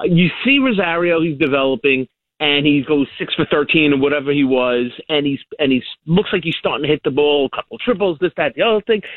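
This man speaks in a New York accent at a fairly quick pace. His pitch is fairly high, with ordinary variation. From Long Island, New York. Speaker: caller. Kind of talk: phone-in call.

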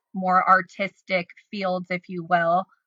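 A woman with a US Midwestern accent. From Illinois, Decatur. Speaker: social media influencer and stylist. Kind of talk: casual interview chat.

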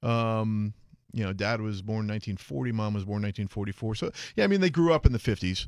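A normal speaking voice from a man, fairly low in pitch and fairly quick, on a very clean recording with a silent background. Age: 40s. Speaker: radio program director. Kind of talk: casual chat.

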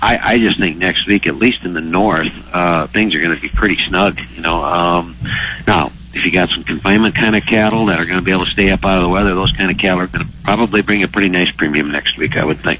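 A man's very deep, low voice at a very fast pace, with very even loudness over noticeable background noise. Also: ordinary pitch variation. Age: 60s. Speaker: commodity market advisor. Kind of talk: radio interview. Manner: halting, many fillers.

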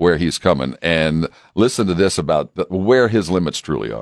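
A man with an American accent and a very deep, low pitch speaks at a moderate pace with vocal fry and very wide pitch swings, in a dry, close sound with no echo. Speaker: radio host. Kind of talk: casual sports radio banter. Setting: studio.

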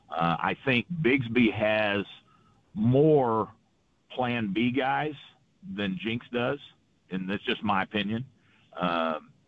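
A man with an American accent speaks at a very slow pace. His intonation is lively, broken by long, frequent pauses. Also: medium pitch for a man. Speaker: high school football coach. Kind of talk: radio interview. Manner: animated; halting.

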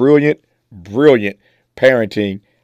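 A man with a normal speaking voice, medium pitch and ordinary pitch variation talks at a moderate pace, the sound dry and close with no echo on a very clean recording with a silent background. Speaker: radio host. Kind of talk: radio show hosting, introducing and closing. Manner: formal.

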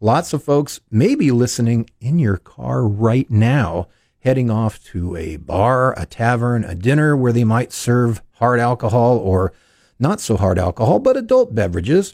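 In an ordinary speaking voice, the speaker goes at a fairly slow pace with lively intonation, and the sound is dry and close with no echo. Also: man, medium pitch for a man. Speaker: fill-in radio host. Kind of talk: live talk radio show. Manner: fluent, conversational, formal.

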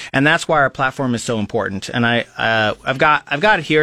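Using a Midwestern American accent, a man speaks at a moderate pace in a medium-pitched, bright, sharp voice with ordinary pitch variation, on a very clean recording with a silent background and a dry, close sound with no echo. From Nebraska (Lincoln). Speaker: local party chairman. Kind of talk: radio interview. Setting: radio studio. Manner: halting, many fillers.

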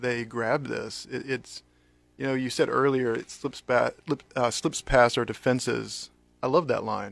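A fairly slow voice with an American accent over music in the background. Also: man. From North Carolina. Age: 40s. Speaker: pastor. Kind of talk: casual chat.

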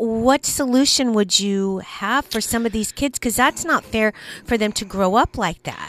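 A woman with a fairly high pitch and ordinary pitch variation talks at a moderate pace. It's an ordinary speaking voice, and the sound is dry and close with no echo. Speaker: radio co-host. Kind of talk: casual banter on talk radio.

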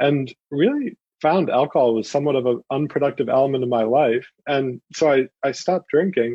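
With an unremarkable speaking voice, a man talks at a fairly quick pace and a fairly high pitch, showing ordinary pitch variation and very even loudness. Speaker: beer entrepreneur. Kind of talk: radio interview.

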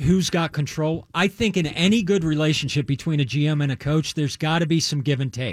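On a very clean recording with a silent background, a man with an American accent talks at a moderate pace. He has an ordinary speaking voice, fairly high in pitch, with ordinary pitch variation. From US East Coast (Maryland). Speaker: sports radio co-panelist. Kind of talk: casual sports talk radio. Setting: radio studio.

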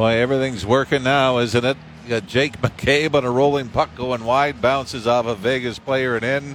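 At a moderate pace, a man talks in an ordinary speaking voice with medium pitch and fairly even intonation. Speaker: hockey colour commentator. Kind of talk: live sports replay analysis. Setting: broadcast booth at arena. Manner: conversational, explanatory breakdowns.

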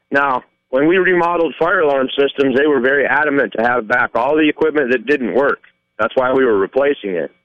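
A man with an ordinary speaking voice, fairly high in pitch, at a fairly quick pace, with ordinary pitch variation and very even loudness. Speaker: caller. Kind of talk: opinionated call-in. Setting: phone call.

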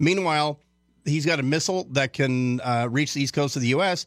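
In a very clean recording with a silent background, a man uses a normal speaking voice with a fairly high pitch, lively intonation and a fairly quick pace. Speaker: radio host and military analyst. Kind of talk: talk radio.

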